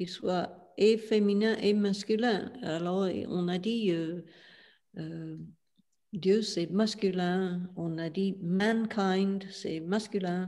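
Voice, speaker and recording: A woman's dark, mellow voice in an English accent, with fairly even intonation at a very slow pace. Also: medium pitch for a woman. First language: English (speaking French). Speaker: spiritual teacher. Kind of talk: interview. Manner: halting, many hesitations.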